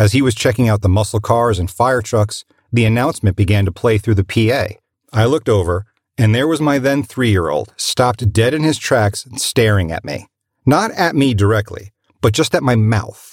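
In a very clean, dry, close recording with a silent background and no echo, a somewhat breathy voice speaks at a moderate pace with lively intonation. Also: man. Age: 40s. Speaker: voice actor. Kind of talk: recorded personal testimony.

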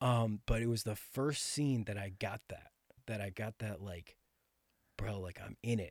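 Speaking with an American accent, a man with an unremarkable speaking voice talks fairly slowly at a fairly low pitch, his pitch varying in an ordinary way. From Connecticut, near New York City. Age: 20s. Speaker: actor and bodybuilder. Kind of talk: casual chat.

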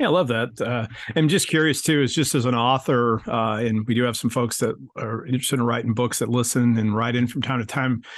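A man with an ordinary speaking voice talks at a fairly quick pace and medium pitch. His intonation is fairly even, and the background is quiet. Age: 50s. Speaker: podcast host and spiritual coach. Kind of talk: interview.

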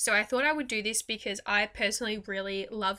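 This woman with an Australian accent has a bright, sharp tone and talks at a fairly quick pace with ordinary pitch variation, in a very clean recording with a silent background. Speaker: podcast host and mindset coach. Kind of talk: guided meditation. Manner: gentle, even pacing with pauses.

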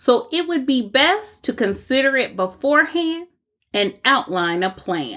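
Speaking with an American accent in a bright, sharp tone, a high-pitched woman swings very widely in pitch at a fairly slow pace in a very clean recording with a silent background. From United States. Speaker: podcast host. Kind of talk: scripted narration.

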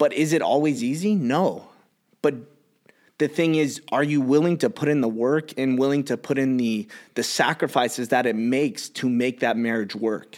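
In a Californian accent, a man speaks at a moderate pace and medium pitch, with ordinary pitch variation. His loudness stays very even, and the recording is very clean with a silent background. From Los Angeles, San Fernando Valley. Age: 30s. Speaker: gym owner and entrepreneur. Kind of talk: casual chat.

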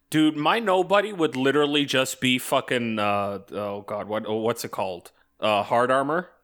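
Loud and at a moderate pace, a man speaks at a medium pitch with very wide pitch swings. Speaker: podcast co-host. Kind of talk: casual chat.

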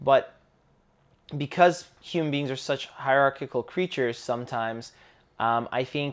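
A man with a Canadian accent in a plain, everyday voice, fairly high in pitch, with ordinary pitch variation. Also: quiet background. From Canada. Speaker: podcast co-host. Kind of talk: casual conversation podcast.

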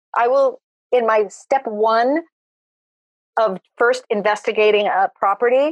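An American accent marks this woman's unremarkable speaking voice, which moves at a fairly slow pace with ordinary pitch variation in a dry, close sound with no echo. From US West Coast, Los Angeles San Fernando Valley. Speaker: interior designer. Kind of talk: casual interview.

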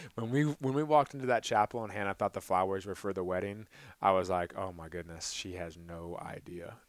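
On a very clean recording with a silent background, a man with an unremarkable speaking voice talks fairly quickly, his fairly low pitch carried by lively intonation. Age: 20s. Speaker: podcast co-host. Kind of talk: casual chat.

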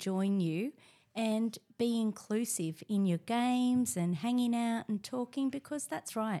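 A woman speaks with an Australian accent at a fairly slow pace, her pitch fairly high with ordinary variation. Her tone is dark and mellow, and the recording is very clean with a silent background. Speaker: teacher. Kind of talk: casual chat.

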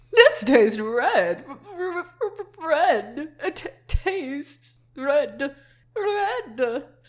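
A high-pitched put-on character voice at a very slow pace, with very wide pitch swings and long, frequent pauses

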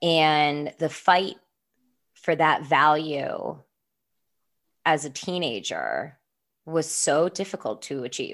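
In a very clean recording with a silent background, a woman speaks at a very slow pace with long, frequent pauses, using a very deep, low pitch with ordinary variation and vocal fry. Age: 20s. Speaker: podcast co-host, nonprofit founder. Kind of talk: casual chat.

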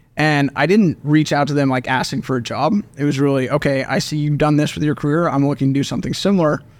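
In a very clean recording with a silent background, a man with a fairly high voice and an American accent talks very fast, hardly pausing at all. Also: fairly even intonation. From Oklahoma. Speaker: venture capital investor. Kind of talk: interview.

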